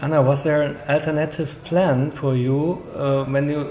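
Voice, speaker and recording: Amid noticeable background noise, a man with a German accent and a fairly high pitch speaks at a moderate pace in a monotone, flat delivery. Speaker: culture magazine interviewer. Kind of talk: interview.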